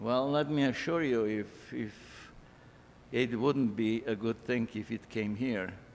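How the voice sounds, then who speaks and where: At a fairly slow pace, a man speaks at medium pitch with fairly even intonation. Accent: Polish. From Poland. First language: Polish. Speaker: immigrant speaker. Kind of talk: personal testimony talk.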